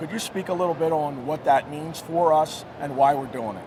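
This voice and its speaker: Moderately paced male speech, fairly high in pitch with ordinary variation, over noticeable background noise. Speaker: state legislator. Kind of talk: interview. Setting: trade show floor.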